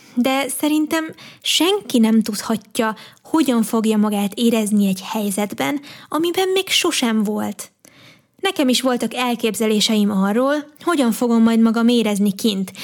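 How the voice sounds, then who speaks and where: The speaker uses an ordinary speaking voice at a fairly slow pace, with lively intonation and very even loudness. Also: woman, fairly high pitch for a woman. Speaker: podcast host and youtuber. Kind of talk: personal monologue.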